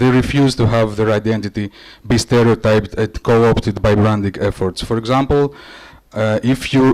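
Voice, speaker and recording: Here a man speaks in a Greek accent at a moderate pace. His medium-pitched voice keeps a fairly even intonation. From Greece or Cyprus. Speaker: creative director and conference presenter. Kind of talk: conference presentation. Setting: conference stage with audience. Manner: hesitant, many fillers.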